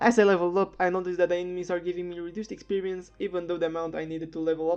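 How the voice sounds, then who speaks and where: A woman talks at a very fast pace with a fairly low pitch. Music plays in the background. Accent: non-native. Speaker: game reviewer. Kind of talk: video game review narration.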